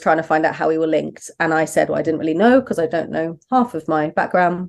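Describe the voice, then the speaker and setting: A woman with a fairly low pitch and vocal fry speaks against a quiet background. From southern England, Brighton. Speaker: donor-conceived person and parent, advocate. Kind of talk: interview conversation. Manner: hesitant, many fillers.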